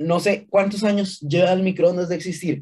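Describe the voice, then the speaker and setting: In a Costa Rican accent, a man with a dark, mellow tone speaks at a fairly quick pace. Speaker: podcast co-host. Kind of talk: casual chat.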